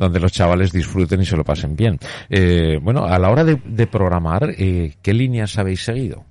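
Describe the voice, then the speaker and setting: A man speaks with a very deep, low pitch and a dark, mellow tone. His intonation is lively, his loudness very even and his pace moderate. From Spain, Zaragoza (Aragon). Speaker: radio host. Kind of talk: radio interview.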